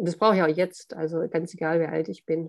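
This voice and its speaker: A woman's dark, mellow tone at a fairly quick pace against a quiet background. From southern Germany (Hohenlohe). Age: 60s. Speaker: author. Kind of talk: interview.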